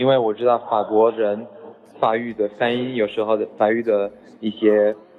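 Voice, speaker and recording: A man with a French accent talks at a moderate pace. His pitch is medium, and noticeable background noise can be heard. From France. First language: French (speaking Chinese). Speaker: French teacher. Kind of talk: lecture. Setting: group chat voice message. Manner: halting.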